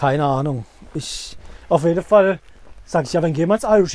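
A man speaks with ordinary pitch variation. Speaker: podcast co-host. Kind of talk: casual chat while walking a dog. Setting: outdoors, walking a dog.

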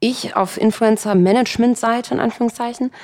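Fairly brisk delivery in a normal speaking voice, its pitch shifting in an ordinary way. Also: woman. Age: 20s. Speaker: influencer manager. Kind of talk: interview. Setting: home dining room.

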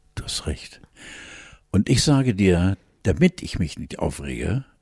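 A man's very deep, low voice with vocal fry, very wide pitch swings and a very slow pace, in a dry, close sound with no echo. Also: very clean recording, silent background. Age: 70s. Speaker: podcast co-host. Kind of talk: casual chat.

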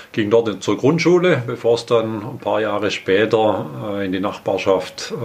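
There is noticeable background noise as a man talks at a fairly slow pace, his fairly low voice carrying lively intonation. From Swabian Alb, Baden-Württemberg, Germany. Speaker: mayor. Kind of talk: interview.

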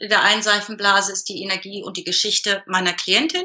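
Fairly high-pitched woman's voice with a bright, sharp tone. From northern Germany, Hamburg area. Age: 40s. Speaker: business coach. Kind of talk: interview.

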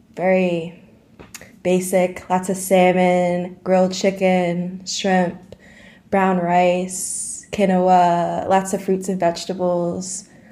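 In an American accent, a woman with a medium pitch and a dark, mellow tone speaks at a very slow pace, with audible room echo. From US Northeast (Dutchess County, New York). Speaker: recent college graduate, fitness enthusiast. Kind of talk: interview.

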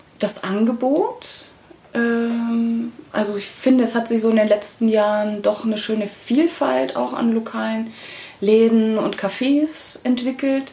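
Over noticeable background noise, a woman with fairly high pitch speaks at a very slow pace with ordinary pitch variation. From Bavaria, small town. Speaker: singer-songwriter. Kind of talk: casual interview.

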